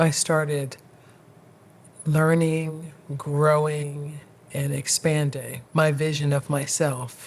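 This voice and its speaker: A woman's very deep, low pitch in monotone, flat intonation, at a very slow pace with long, frequent pauses. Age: 60s. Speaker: podcast host. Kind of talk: motivational talk to camera. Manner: casual, reflective.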